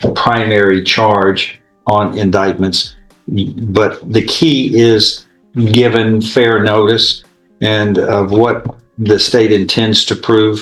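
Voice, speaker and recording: Music plays behind a man who speaks very slowly at a fairly low pitch, with monotone, flat intonation and very even loudness. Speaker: judge. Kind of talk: courtroom proceedings. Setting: courtroom.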